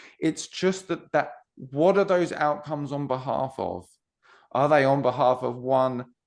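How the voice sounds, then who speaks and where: A man speaks in a British accent at a medium pitch. He talks at a fairly slow pace against a quiet background. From UK. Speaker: non-duality coach. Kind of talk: podcast interview. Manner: halting, many restarts.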